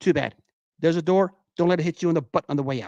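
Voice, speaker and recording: A high-pitched male voice at a very fast pace, with ordinary pitch variation. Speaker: sports livestream host. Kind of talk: solo livestream monologue. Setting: livestream. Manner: halting.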